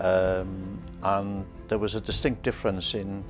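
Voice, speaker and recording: With a Welsh accent, a man talks at a fairly low pitch against a quiet background. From South Wales, Rhondda (Ferndale). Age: 70s. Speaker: interviewee recounting his life. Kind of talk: oral history interview. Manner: hesitant, many fillers.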